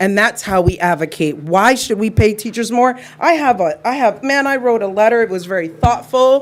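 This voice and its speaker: Lively in intonation and with hardly any pauses, a woman with an unremarkable speaking voice talks at a moderate pace in a fairly high pitch. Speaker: parent speaking at public comment. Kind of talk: public comment speech. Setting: school board meeting. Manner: emotional.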